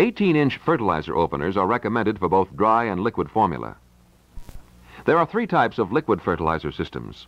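Speaking at a fairly quick pace, a man uses a fairly low pitch with vocal fry and very wide pitch swings. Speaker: demo tape narrator. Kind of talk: scripted narration. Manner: formal, polished, authoritative sales-pitch delivery; steady, measured pacing like a slide-show voiceover. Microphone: old recording.

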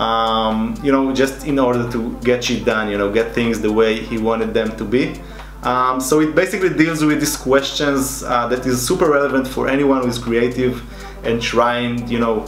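Moderate pace from a male speaker, amid audible room echo and light background noise. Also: ordinary pitch variation. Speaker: illustrator youtuber. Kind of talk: casual vlog chat. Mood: relaxed, amused. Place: home room.

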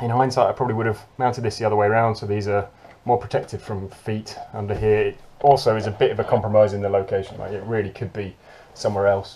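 A man speaks at a very fast pace in a fairly low pitch with monotone, flat intonation. His tone is dark and mellow, and somewhat breathy. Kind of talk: tutorial. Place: boat. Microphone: phone near.

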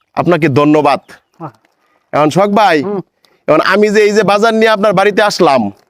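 A man with a high pitch speaks at a very even loudness. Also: ordinary pitch variation. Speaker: charity worker. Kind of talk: charity home-visit interview. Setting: at a blind man's home.

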